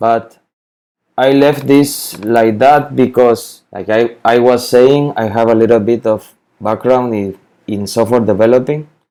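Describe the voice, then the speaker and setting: A man with a Spanish accent, a dark, mellow tone, medium pitch, fairly even intonation and a fairly slow pace. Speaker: spreadsheet tutorial maker. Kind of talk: tutorial. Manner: halting, with repetitions and fillers.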